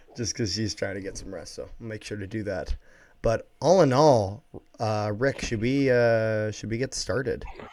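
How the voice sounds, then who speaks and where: On a very clean recording with a silent background, the voice has ordinary pitch variation and big swings in loudness. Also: man, medium pitch for a man, moderate pace. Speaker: sports podcast host. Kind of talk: casual sports review chat. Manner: keeping voice down, quiet.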